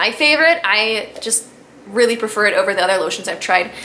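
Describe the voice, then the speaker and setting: Noticeable background noise sits behind a woman whose fairly high pitch moves in very wide swings. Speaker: beauty vlogger. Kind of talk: casual product review vlog. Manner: fast; chatty, rambling with fillers.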